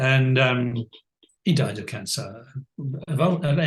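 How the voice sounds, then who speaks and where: A somewhat breathy man at a fairly slow pace. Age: 70s. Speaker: life coach. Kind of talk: interview conversation. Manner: halting.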